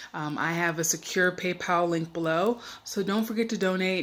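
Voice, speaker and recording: An unremarkable speaking voice talks with an American accent. The pace is fairly slow, and the pitch varies in an ordinary way. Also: woman. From USA. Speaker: expat travel vlogger. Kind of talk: casual vlog talk to camera. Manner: chatty, filler-heavy.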